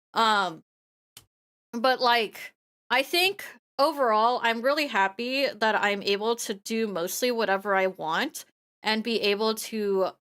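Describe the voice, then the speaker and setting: Her tone is bright and sharp as the woman speaks at a fairly slow pace. The recording is very clean, with a silent background. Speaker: vtuber streamer. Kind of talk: casual chat. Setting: live stream.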